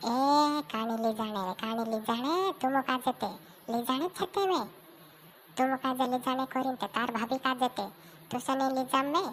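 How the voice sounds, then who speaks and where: A woman does a high-pitched cartoonish character voice at a fairly quick pace, with clear background noise behind her. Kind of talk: comic village cartoon.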